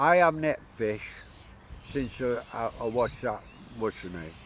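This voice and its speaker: This man has a medium pitch. His tone is bright and sharp. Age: 70s. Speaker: YouTuber. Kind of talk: casual vlog monologue. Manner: halting.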